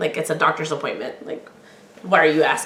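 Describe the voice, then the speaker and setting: A woman speaks with audible room echo. Background noise is noticeable. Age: 40s. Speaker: podcast host. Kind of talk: personal storytelling. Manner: projects loudly; animated.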